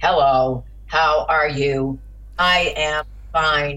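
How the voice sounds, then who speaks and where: Someone puts on a robotic character voice at a low-to-middle pitch and a very slow pace. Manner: unfriendly, stiff.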